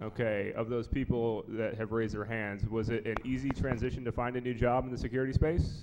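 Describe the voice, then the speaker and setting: Against noticeable background noise, a man talks at a fairly quick pace with fairly even intonation and hardly any pauses. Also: medium pitch for a man. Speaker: security conference organizer and panelist. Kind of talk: conference panel discussion. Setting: stage with audience. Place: hall. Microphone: handheld.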